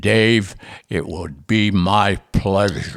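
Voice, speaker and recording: A man puts on a character voice with a fairly low pitch. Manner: gruff, menacing.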